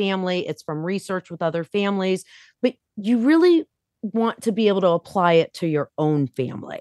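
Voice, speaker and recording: An unremarkable speaking voice with lively intonation at a moderate pace, in a dry, close sound with no echo and a quiet background. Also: woman. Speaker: author. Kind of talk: casual chat.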